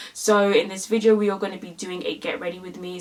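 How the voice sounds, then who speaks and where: Over noticeable background noise, a woman with a medium-pitched voice talks at a very fast pace. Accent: London. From London, England. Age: 20s. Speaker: beauty YouTuber. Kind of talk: makeup tutorial. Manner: animated.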